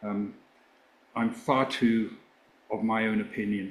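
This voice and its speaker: A man with an English accent at a fairly slow pace. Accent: English accent, kept. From England. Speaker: former rock band manager, author. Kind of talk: interview.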